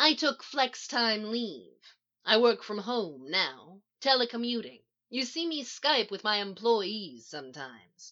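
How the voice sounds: Putting on a character voice, a woman speaks slowly at a medium pitch with a bright, sharp tone and big pitch swings.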